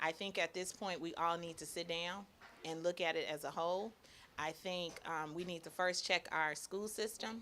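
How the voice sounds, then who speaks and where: A woman with an American accent, fairly low-pitched, with a bright, sharp tone, fairly even intonation and a moderate pace. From Chicago, Woodlawn (South Side). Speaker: teacher and basketball coach. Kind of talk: interview.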